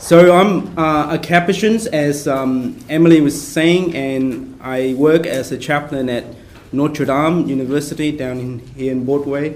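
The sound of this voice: Soft-spoken and fairly high-pitched, a man talks at a fairly slow pace with few pauses and ordinary pitch variation, with audible room echo.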